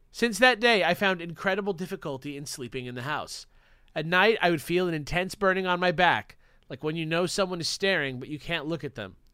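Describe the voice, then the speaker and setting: Speaking at a fairly quick pace, a man with a high pitch and a bright, sharp tone shows ordinary pitch variation and big swings in loudness on a very clean recording with a silent background. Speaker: podcast co-host. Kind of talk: reading aloud.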